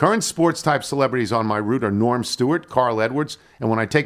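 This natural reading voice rises and falls with ordinary pitch variation.

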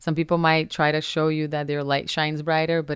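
A woman with a Portuguese accent speaks in a very deep, low pitch on a very clean recording with a silent background. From Brazil, Minas Gerais. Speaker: influencer and entrepreneur. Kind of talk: interview conversation. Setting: studio.

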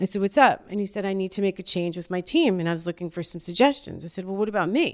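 Very fast and with hardly any pauses, a woman speaks in an American accent on a very clean recording with a silent background. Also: medium pitch for a woman, ordinary pitch variation. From New York (Yonkers). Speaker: talent manager and entrepreneur. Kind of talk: casual chat.

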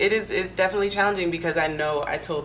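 A woman speaks with an American accent. Noticeable background noise and audible room echo are present. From Denver, Colorado. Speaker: poet and diversity consultant. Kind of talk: casual chat.

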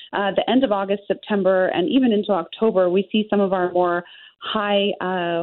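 A woman's normal speaking voice at medium pitch and a moderate pace. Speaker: winery owner. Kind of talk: interview.

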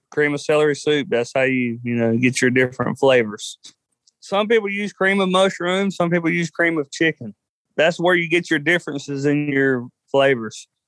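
Lively intonation and a moderate pace mark this voice in a Southern US accent, with a dry, close sound and no echo. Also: man, fairly high pitch for a man. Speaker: cook-off contestant. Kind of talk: interview. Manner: casual, hesitant.

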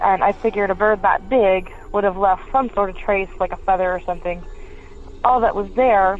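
This woman has an ordinary speaking voice, pitched in the medium range, with fairly even intonation and a moderate pace. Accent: American. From Pennsylvania. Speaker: caller. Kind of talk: recorded voicemail story.

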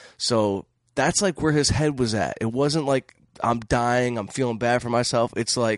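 In a plain, everyday voice, a man with an American accent speaks at a moderate pace and medium pitch, with a quiet background and a dry, close sound with no echo. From Detroit, Michigan. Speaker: comedian and film director. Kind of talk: casual chat. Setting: studio.

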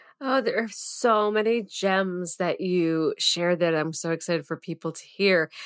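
A woman at a medium pitch speaks in an animated tone with ordinary pitch variation and hardly any pauses, on a very clean recording with a silent background. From Massachusetts (Andover). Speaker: podcast host, prenatal yoga teacher. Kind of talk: casual interview.

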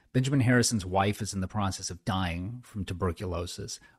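At a fairly quick pace, a man with an American accent and a plain, everyday voice talks at a fairly low pitch with ordinary variation on a very clean recording with a silent background. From Southern California (inland). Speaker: author and former speechwriter. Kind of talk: interview.

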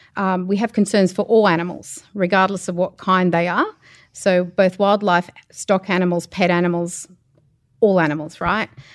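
Speaking at a moderate pace with fairly even intonation, a woman with an Australian accent has a medium pitch, recorded very cleanly against a silent background. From Australia, New South Wales. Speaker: animal welfare inspector. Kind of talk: interview. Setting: backstage at a comedy show.

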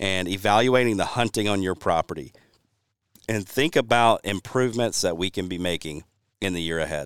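With a Southern US accent, a man speaks at a fairly low pitch and a fairly quick pace, his intonation lively. The sound is dry and close with no echo, and the recording is very clean against a silent background. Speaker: podcast host and habitat consultant. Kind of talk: casual chat.

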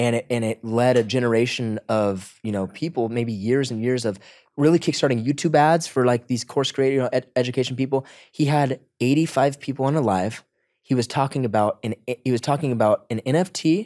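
In an ordinary speaking voice, a man talks at medium pitch with ordinary pitch variation, the sound dry and close with no echo on a very clean recording with a silent background. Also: fairly quick pace. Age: 20s. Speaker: content creator and entrepreneur. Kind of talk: casual interview chat.

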